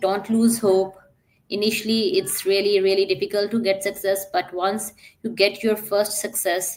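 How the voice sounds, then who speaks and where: Over music in the background, a woman with a medium pitch talks at a moderate pace in a monotone, flat intonation. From Pakistan. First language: Urdu. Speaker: digital entrepreneur. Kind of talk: podcast interview. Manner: hesitant with frequent fillers.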